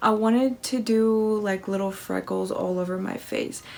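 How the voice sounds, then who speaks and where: In an American accent, a woman speaks at a moderate pace. Her pitch is fairly high. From US Midwest, Kansas. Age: 20s. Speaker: makeup artist; makeup vlogger. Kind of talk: makeup tutorial. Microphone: phone near.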